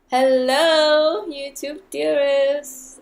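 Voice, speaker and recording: The speaker has a non-native accent and ordinary pitch variation. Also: woman. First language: not English. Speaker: YouTuber, TV show reviewer. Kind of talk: casual video review. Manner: animated, excited.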